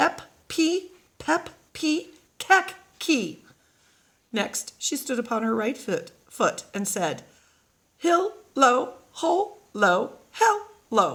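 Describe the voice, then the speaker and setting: A put-on character voice moves at a very slow pace with very wide pitch swings. Long, frequent pauses break up the speech. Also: woman, high pitch for a woman. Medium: read story. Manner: commanding.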